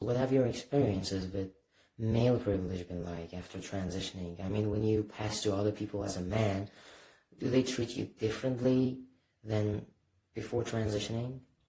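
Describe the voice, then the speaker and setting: A man's somewhat breathy voice, dark and mellow in tone, fairly low in pitch, with fairly even intonation at a moderate pace. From Iran. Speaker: interviewer. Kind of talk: interview questions.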